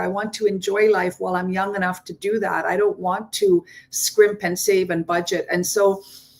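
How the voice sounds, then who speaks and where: A woman talks at a moderate pace in a plain, everyday voice. Her medium pitch carries fairly even intonation. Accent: Canadian. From Ontario, Canada. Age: 60s. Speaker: digital business owner. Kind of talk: testimony.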